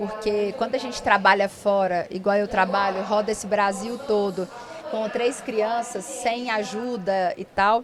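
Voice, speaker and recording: A woman with a strong Minas Gerais accent speaks at a fairly slow pace with fairly even intonation and a fairly high pitch. Noticeable background noise runs underneath. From interior of Minas Gerais, Brazil. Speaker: lawyer and podcast host. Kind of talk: podcast interview conversation. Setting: at a conference.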